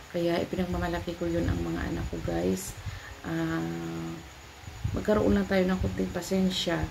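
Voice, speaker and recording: A woman speaking at a moderate pace, with audible room echo and noticeable background noise. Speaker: vlogger, mother. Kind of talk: casual vlog talk. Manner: halting.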